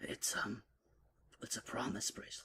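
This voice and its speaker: A man puts on a character voice that rumbles and growls. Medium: read story. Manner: rumbling, growly.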